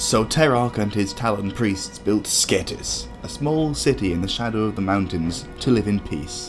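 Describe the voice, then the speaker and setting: Music plays in the background as a man talks. His voice is fairly low-pitched, at a moderate pace. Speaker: lore video narrator. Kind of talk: game lore storytelling narration.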